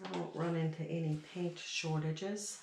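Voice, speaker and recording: Noticeable background noise and audible room echo accompany this woman as she talks. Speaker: acrylic pour painter. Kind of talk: tutorial. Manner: casual, chatty.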